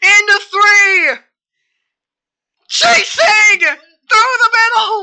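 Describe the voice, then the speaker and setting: Shouting at a very slow pace with long, frequent pauses, a woman uses an extremely high pitch, a bright, sharp tone and ordinary pitch variation. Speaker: sim racing commentator. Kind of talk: live commentary. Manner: animated.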